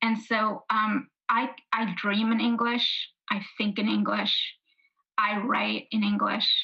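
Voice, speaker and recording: A woman speaks very slowly in a flat monotone with vocal fry. Her pitch sits fairly high. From New York City (Brooklyn and Queens). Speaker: author. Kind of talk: book talk conversation.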